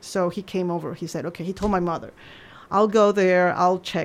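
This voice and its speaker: A woman talks with a Spanish accent. Her pitch is fairly low and her intonation fairly even. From Peru. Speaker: journalist. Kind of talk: casual interview. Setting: studio.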